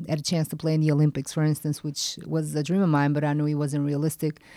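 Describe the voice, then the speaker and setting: A woman's very deep, low voice in a Portuguese accent, dark and mellow in tone, with monotone, flat intonation, on a very clean recording with a silent background. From Portugal. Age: 40s. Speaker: former pro basketball player. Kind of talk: interview.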